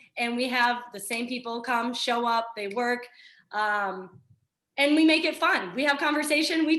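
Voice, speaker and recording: Against a quiet background, a woman speaks loudly with a high pitch and a bright, sharp tone. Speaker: fitness trainer. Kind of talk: casual chat. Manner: energetic.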